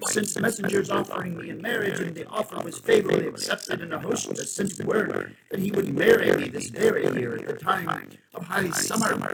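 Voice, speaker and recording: Putting on a character voice, a man speaks raspily at a high pitch and a fairly quick pace. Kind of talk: old-tale narration. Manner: funny storytelling voice.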